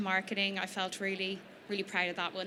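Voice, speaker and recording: An Irish accent over noticeable background noise. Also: woman. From Ireland, Dublin. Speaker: small business founder. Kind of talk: presentation to an audience. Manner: fast.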